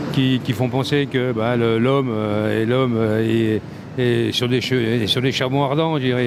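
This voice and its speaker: A fairly slow, monotone voice with flat intonation and very even loudness comes through audible room echo, with music in the background. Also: man. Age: 60s. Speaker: passer-by interviewed in the street. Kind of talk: street interview. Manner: halting, many repetitions.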